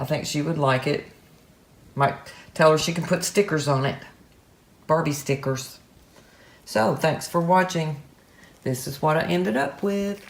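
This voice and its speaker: A woman with a very deep, low pitch speaks at a moderate pace, her pitch varying in an ordinary way. She sounds somewhat breathy and leaves long, frequent pauses. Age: 60s. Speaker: art tutorial youtuber. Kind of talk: casual video commentary. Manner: relaxed, chatty.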